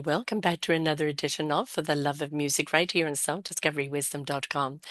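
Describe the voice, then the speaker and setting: A woman talks at a very fast pace in a very deep, low pitch. The background is quiet. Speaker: podcast host. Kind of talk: interview introduction.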